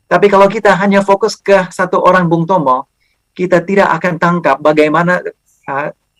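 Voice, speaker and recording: The sound is dry and close, with no echo. The speaker, with an English accent, keeps a moderate pace. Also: man. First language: English (speaking Indonesian). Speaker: historian, university lecturer. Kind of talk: lecture. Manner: halting, many fillers.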